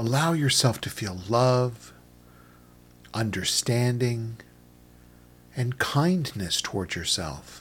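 Very slow and somewhat breathy, a man speaks in a soothing, gentle tone at a medium pitch, his intonation lively and his speech marked by long, frequent pauses. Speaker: meditation guide. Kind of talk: guided meditation, calm instructional narration. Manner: slow, soothing, gentle pacing with long pauses; soft-spoken, even and calm.

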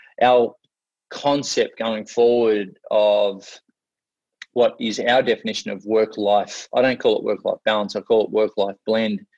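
In an Australian accent, a man speaks at a fairly slow pace with a dry, close sound and no echo. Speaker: motivational speaker. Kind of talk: casual interview.

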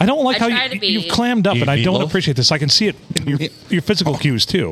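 A man's very fast speech at a high pitch, with very wide pitch swings, very even loudness and noticeable background noise. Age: 40s.

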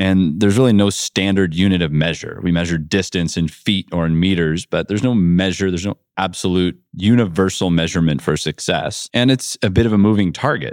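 Very deep and low in pitch, a man with an American accent talks with ordinary pitch variation. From US Midwest, north central Ohio. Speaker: entrepreneur and keynote speaker. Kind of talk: keynote speech.

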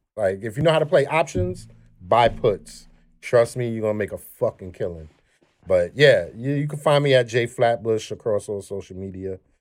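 A man with a New York accent at a medium pitch, lively intonation and a moderate pace, on a very clean recording with a silent background. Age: 40s. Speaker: podcast co-host. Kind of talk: casual chat.

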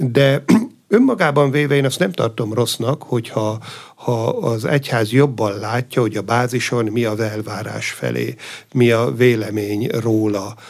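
A man with a normal speaking voice, medium pitch, ordinary pitch variation and a fairly slow pace. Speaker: abbot. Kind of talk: radio interview. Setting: studio.

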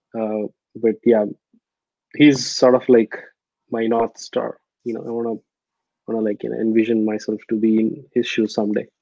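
With a Telugu accent, a man speaks at a moderate pace and medium pitch, his dark, mellow tone carrying monotone, flat intonation and long, frequent pauses in a dry, close sound with no echo. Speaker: startup founder. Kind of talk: interview. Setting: video call. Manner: hesitant with many fillers.

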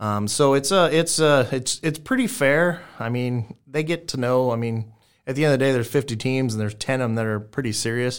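A man with an American accent has a normal speaking voice of medium pitch and ordinary pitch variation. He talks at a fairly quick pace with hardly any pauses, in a very clean recording with a silent background. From South Texas. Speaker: barbecue restaurant owner and pitmaster. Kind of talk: casual interview.

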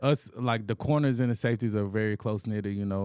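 Very fast speech from a man with a fairly low pitch and an American accent, on a very clean recording with a silent background. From Anniston, Alabama. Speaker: professional football player. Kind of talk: casual interview.

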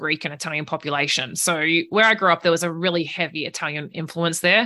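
Talking at a very fast pace, a woman with a fairly low pitch speaks in an Australian accent. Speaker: career advice podcast host. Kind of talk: interview conversation.

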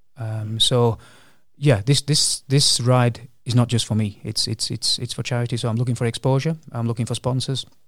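On a very clean recording with a silent background, a man with a medium pitch speaks at a moderate pace, somewhat breathy, with fairly even intonation. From England. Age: 50s. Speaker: long-distance charity cyclist. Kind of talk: casual interview.

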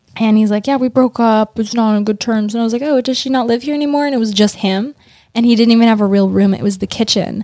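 In a New York accent, the speaker goes at a very fast pace with a dark, mellow tone and fairly even intonation. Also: woman, fairly high pitch for a woman. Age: 20s. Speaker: model and hairdresser. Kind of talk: casual chat. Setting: studio.

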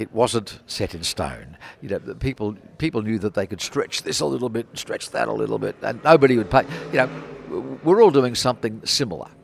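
Big swings in loudness mark a man talking at a fairly quick pace in an Australian accent. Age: 80s+. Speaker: motorsport book publisher. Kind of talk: interview.

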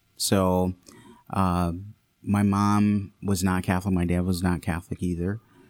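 A man speaks in a normal speaking voice with an American accent, at a fairly slow pace and a fairly low pitch, on a very clean recording with a silent background. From Detroit area, Michigan. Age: 30s. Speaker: deacon and future priest. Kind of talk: casual interview with personal testimony.

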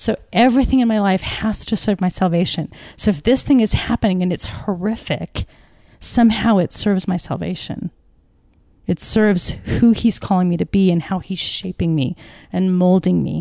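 A woman with an American accent talks at a medium pitch in a dark, mellow tone, with ordinary pitch variation over a quiet background. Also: moderate pace. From Northern England until seven, then California. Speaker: co-author and business coach. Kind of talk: casual chat. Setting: recording with small audience, smoking cigars.

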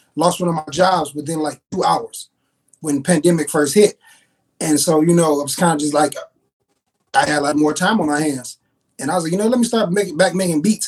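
In an American accent, a man with an ordinary speaking voice talks at a fairly high pitch and a fairly quick pace, with ordinary pitch variation. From East Chicago and Gary, Indiana. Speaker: beat producer. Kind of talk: casual chat.

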